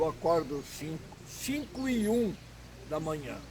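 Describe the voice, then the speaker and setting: The speaker is a man. His intonation is lively. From Santa Catarina, southern Brazil. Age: 70s. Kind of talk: interview.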